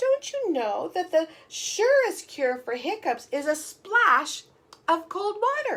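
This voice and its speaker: A woman does a squeaky put-on character voice, extremely high in pitch with very wide pitch swings, at a fairly slow pace. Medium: read story.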